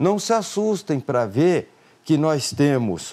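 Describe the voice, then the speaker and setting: In a dark, mellow tone, a man speaks at a fairly high pitch with lively intonation. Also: very clean recording, silent background. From Brazil, Mato Grosso do Sul. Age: 50s. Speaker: politician, candidate for state governor. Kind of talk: closing campaign statement; live political interview. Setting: TV and radio studio.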